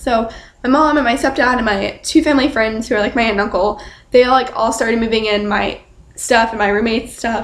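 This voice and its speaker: Shaky and fairly high-pitched, a woman talks at a fairly quick pace with fairly even intonation. Noticeable background noise runs underneath. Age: young. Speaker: student vlogger. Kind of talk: casual vlog. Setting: dorm room at night. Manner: quiet, hushed.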